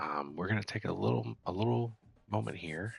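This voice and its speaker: A man talks at a moderate pace with vocal fry and very wide pitch swings. The sound is dry and close, with no echo. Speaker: gaming streamer. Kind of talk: live gameplay commentary. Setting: at home at night, others asleep.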